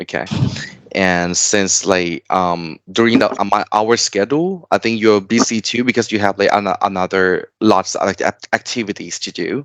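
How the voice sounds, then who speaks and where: Speaking with a Thai accent, a man uses a fairly low pitch with ordinary pitch variation at a fairly slow pace. The sound is dry and close, with no echo. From Thailand. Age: 30s. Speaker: tutor. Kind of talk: online tutoring lesson. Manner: halting.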